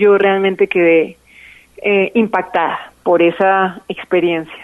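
A woman's medium-pitched voice stays monotone and flat. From Colombia, Bogotá. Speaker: singer and musician. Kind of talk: interview.

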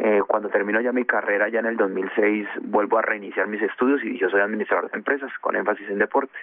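A man's fairly low, monotone voice with flat intonation, rushing at a very fast pace with hardly any pauses. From Colombia, Bogotá (born in Chocó). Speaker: former footballer and coach. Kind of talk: radio interview. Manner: halting, with repetitions.

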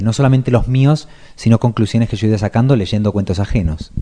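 Speaking at a fairly quick pace in a strong Argentine accent, a man has a fairly low pitch and a dark, mellow tone. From Argentina. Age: 30s. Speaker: writer. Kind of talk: radio interview.

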